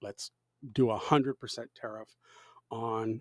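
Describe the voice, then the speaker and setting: The sound is dry and close, with no echo. A man talks at medium pitch with fairly even intonation in a normal speaking voice. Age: 60s. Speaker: live streamer. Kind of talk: casual live stream commentary. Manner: casual, with many filler words.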